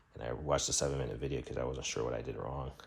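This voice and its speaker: A man speaks with vocal fry in a very deep, low pitch and monotone, flat intonation. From Jamaica. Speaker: YouTuber. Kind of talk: casual vlog monologue. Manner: hesitant, many fillers.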